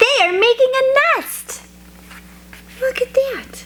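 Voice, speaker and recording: Someone does a put-on character voice at an extremely high pitch, speaking at a fairly slow pace. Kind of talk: children's read-aloud. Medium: read story. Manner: calm, matter-of-fact.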